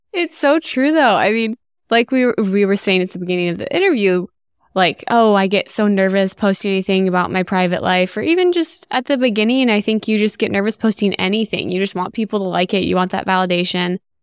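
It is a normal speaking voice at a fairly quick pace with ordinary pitch variation. The sound is dry and close, without echo. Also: woman, medium pitch for a woman. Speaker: podcast host. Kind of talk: casual interview chat.

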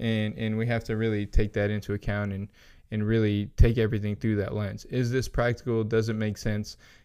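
A man talks at a fairly quick pace with a dark, mellow tone and fairly low pitch. His intonation is monotone and flat in a very clean recording with a silent background. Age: 30s. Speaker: nutrition professional. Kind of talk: casual interview. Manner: laughs often while talking.

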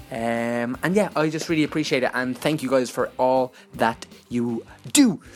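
A man with an Irish accent at a medium pitch and moderate pace, with ordinary pitch variation. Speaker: podcast host. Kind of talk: podcast intro and outro.

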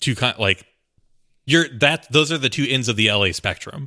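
A man's ordinary speaking voice at medium pitch and a moderate pace, with ordinary pitch variation, in a dry, close sound with no echo on a very clean recording with a silent background. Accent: American. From rural Texas. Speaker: podcast producer. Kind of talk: casual chat.

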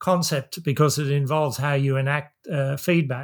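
A man talks at a moderate pace, his voice somewhat breathy, fairly high in pitch and fairly even in intonation. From Australia, central west New South Wales. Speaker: systems professor, author. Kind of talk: interview. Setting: remote call.

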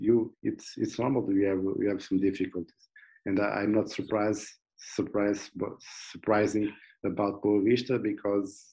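Speaking in a monotone, flat intonation, a man with a Portuguese accent has a fairly low pitch. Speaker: football analyst. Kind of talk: casual interview. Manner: halting, repeating words.

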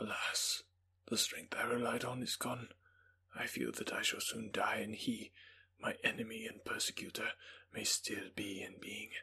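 A put-on character voice whispers. Long pauses come often. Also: man, moderate pace. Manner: solemn, sorrowful.

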